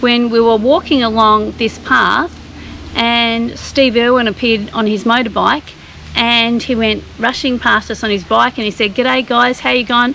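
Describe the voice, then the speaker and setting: Against noticeable background noise, a woman with an Australian accent speaks at a fairly high pitch and moderate pace, her intonation fairly even. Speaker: travel vlogger. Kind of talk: casual chat; scripted narration.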